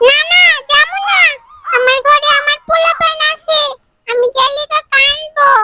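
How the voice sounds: At an extremely high pitch, a cartoonish character voice speaks. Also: moderate pace.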